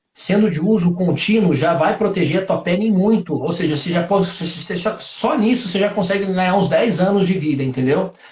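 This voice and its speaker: A man's high voice at a fairly quick pace with hardly any pauses and ordinary pitch variation, amid noticeable background noise. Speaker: doctor. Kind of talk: interview on live stream.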